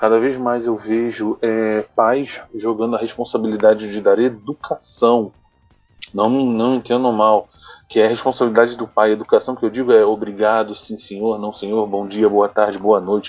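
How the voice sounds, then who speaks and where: Medium-pitched male voice at a moderate pace, monotone and flat in intonation, with music in the background. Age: 30s. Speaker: podcast co-host. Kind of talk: casual chat.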